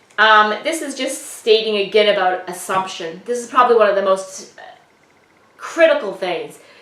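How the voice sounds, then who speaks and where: With lively intonation and big swings in loudness, a woman with an ordinary speaking voice talks at a moderate pace and a medium pitch. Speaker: real estate trainer. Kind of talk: lecture.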